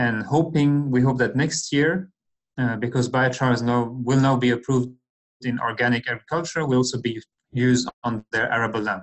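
Against a quiet background, a man talks at a moderate pace with fairly even intonation. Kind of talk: lecture. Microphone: webcam.

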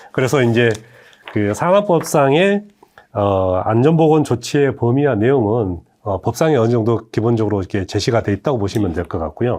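At a moderate pace, a man with an ordinary speaking voice and medium pitch talks with lively intonation. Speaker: workplace safety legal expert. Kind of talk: expert explainer talk. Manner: formal.

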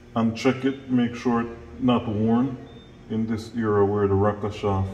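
Over light background noise and audible room echo, a man speaks at a very slow pace. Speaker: mechanic instructor. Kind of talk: tutorial. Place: workshop. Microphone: camera far.

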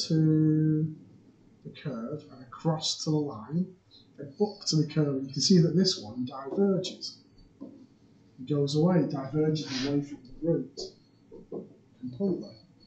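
A soft-spoken man with a fairly high pitch talks at a fairly slow pace, with ordinary pitch variation. His loudness swings widely over noticeable background noise. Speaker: maths teacher. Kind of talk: tutorial.

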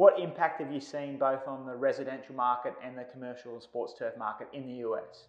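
In an Australian accent, a man talks at a fairly quick pace with hardly any pauses and fairly even intonation. His loudness swings widely, and audible room echo sits over a quiet background. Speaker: turf company presenter; presenter. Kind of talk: interview. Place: studio.

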